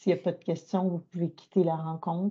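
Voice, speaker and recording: A woman's somewhat breathy, dark, mellow voice, fairly low in pitch, with monotone, flat intonation and a quiet background. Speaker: workshop moderator. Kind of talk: online training workshop. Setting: video call. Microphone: video call.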